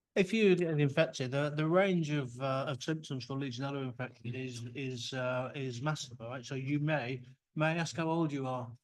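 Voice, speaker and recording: Hardly pausing, a man with a fairly high pitch and ordinary pitch variation talks at a moderate pace with audible room echo. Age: 60s. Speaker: microbiology researcher. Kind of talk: conference talk. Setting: workshop with audience.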